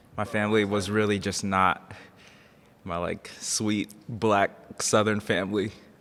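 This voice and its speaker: Over music in the background, a man with an American accent speaks in a monotone, flat way at a fairly slow pace with long, frequent pauses. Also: fairly low pitch for a man. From Seattle, US Pacific Northwest. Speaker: podcast guest and collaborator. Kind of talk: casual chat.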